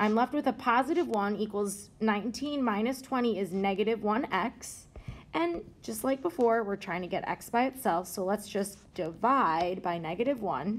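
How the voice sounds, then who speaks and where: A woman's unremarkable speaking voice, fairly high in pitch, with lively intonation at a moderate pace. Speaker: math teacher. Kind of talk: tutorial. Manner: casual.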